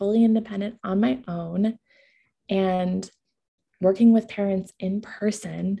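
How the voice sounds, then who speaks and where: A woman speaks very slowly in a somewhat breathy voice of medium pitch, with a dark, mellow tone. Her intonation is fairly even, and the background is quiet. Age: 20s. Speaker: parenting coach and podcast host. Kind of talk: sales pitch.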